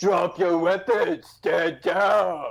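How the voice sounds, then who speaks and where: Shouting in a put-on character voice, a man sounds raspy and high-pitched. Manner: taunting, yelling.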